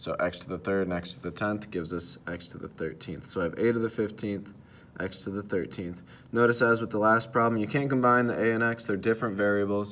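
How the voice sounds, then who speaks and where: A man's fairly low voice, ordinary pitch variation, very fast pace. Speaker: math teacher. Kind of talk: tutorial. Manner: hesitant with fillers.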